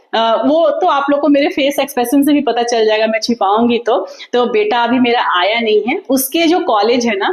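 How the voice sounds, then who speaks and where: A woman's high voice, lively in intonation, at a moderate pace and very even in loudness. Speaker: vlogger. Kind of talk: casual vlog talk to viewers. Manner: loud, energetic even when tired; talkative, flowing.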